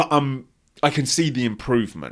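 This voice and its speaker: The recording is very clean, with a silent background. A man speaks in an animated tone. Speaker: abuse survivor and vlogger. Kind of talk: personal talk to camera. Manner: halting, with ums and stutters.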